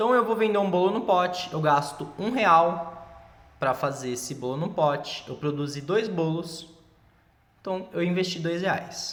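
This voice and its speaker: A man speaks in a high voice at a fairly slow pace. His pitch varies in an ordinary way, and room echo is audible. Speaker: teacher. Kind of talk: tutorial. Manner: casual.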